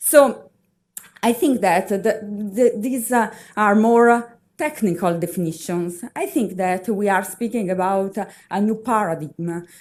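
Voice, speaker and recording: A woman with an Italian accent and medium pitch speaks at a fairly slow pace in a very clean recording with a silent background. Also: ordinary pitch variation. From Italy. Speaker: university researcher. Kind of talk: conference presentation. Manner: halting, many fillers.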